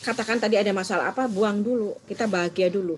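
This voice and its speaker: A woman with a Surabaya accent at a fairly quick pace. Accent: Surabaya accent, says it is her own. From Indonesia, Surabaya (East Java). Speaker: trainer of assessors. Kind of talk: online training lecture. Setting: recorded video with screen share, alone. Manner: fast.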